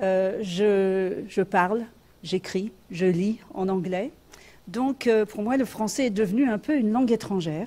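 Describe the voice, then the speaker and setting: A woman's dark, mellow tone comes at a very slow pace. Her pitch varies in an ordinary way. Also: medium pitch for a woman. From France. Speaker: sociology professor. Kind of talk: academic conference talk read from notes. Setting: conference room with audience. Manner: halting, many hesitations.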